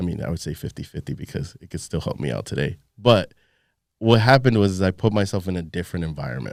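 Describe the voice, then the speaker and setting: Very fast, lively speech from a man with a very deep, low pitch, vocal fry and big swings in loudness. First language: Spanish. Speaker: entrepreneur and podcaster. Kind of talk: casual chat. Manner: animated.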